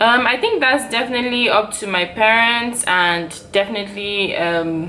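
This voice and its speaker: Through audible room echo and noticeable background noise, a woman's voice comes across. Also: fairly high pitch for a woman, ordinary pitch variation, moderate pace. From Nigeria, Port Harcourt. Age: 20s. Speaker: YouTuber. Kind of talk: casual Q&A vlog. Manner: chatty, filler-heavy.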